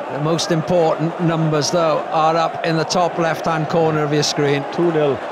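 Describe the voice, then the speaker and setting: A man's fairly high-pitched, monotone delivery at a moderate pace, with flat intonation, very even loudness, and hardly any pauses, in a dry sound with no echo over loud background noise. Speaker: football commentator. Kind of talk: live match commentary.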